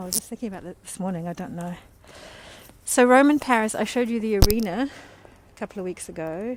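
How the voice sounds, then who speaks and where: A woman speaks with a New Zealand accent. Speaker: tour guide. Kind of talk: live-streamed walking tour. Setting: outdoors.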